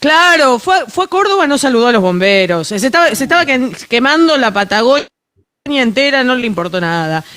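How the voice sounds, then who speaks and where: A fairly quick pace in an Argentine accent. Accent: Rioplatense Argentine Spanish. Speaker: radio host. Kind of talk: casual chat. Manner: halting.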